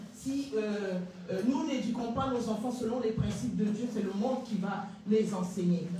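Strong room echo, light background noise and a fairly slow pace. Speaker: evangelist giving testimony. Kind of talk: testimony. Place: church. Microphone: handheld.

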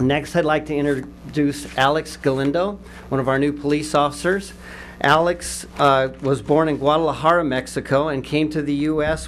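Light background noise sits behind a man's voice. He talks at a moderate pace with fairly even intonation. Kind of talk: formal introduction speech. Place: hall. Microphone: podium.

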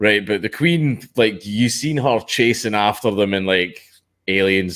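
A man with a Scottish accent speaks at a fairly low pitch against a quiet background. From Scotland. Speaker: podcast guest. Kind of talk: casual conversation. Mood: animated, conversational. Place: home room. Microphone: headset.

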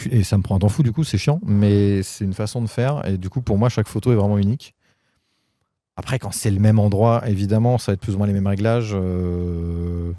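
A man talks at a fairly quick pace in a fairly low, dark and mellow voice with ordinary pitch variation. The sound is dry with no echo, over a quiet background. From Paris region, France; France. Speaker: photographer; guest. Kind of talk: casual interview. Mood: relaxed, animated. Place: garden. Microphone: handheld.

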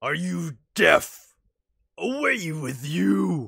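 A put-on character voice sits at a low-to-middle pitch. It comes out shouting and bellowing. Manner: screaming, roaring.

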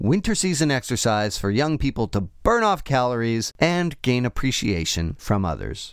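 This man speaks at a medium pitch and a moderate pace, with very wide pitch swings. The recording is very clean, with a silent background. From Canada. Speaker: news podcast host. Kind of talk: news recap podcast with casual commentary.

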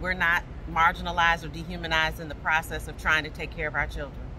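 There is noticeable background noise in this clip. Over it, a woman speaks very fast. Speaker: business consultant. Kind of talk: interview answer. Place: street. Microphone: phone near.

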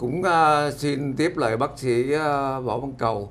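A man is speaking. His pitch sits fairly high. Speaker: doctor co-presenter. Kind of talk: promotional talk show. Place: studio. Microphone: lapel.

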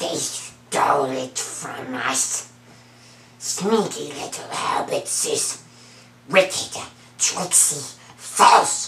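A put-on character voice growls at a middle pitch. It moves at a very slow pace, with audible echo. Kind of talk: acted character impression. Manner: sneaky, bitter. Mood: sneaky, resentful.

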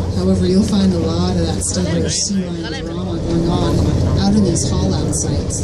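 Over loud background noise, a man keeps a moderate pace. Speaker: boat captain giving a wildlife tour. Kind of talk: guided wildlife tour narration. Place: boat.

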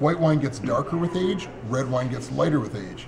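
With noticeable background noise behind him, a man talks at a fairly quick pace with ordinary pitch variation. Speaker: winery tasting host. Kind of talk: tutorial. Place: shop. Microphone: camera far.

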